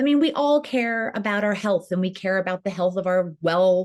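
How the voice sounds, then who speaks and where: With an ordinary speaking voice, a woman talks at a fairly quick pace, medium in pitch and lively in intonation. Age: 50s. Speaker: entrepreneur, founder of women's online platform. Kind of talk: interview conversation.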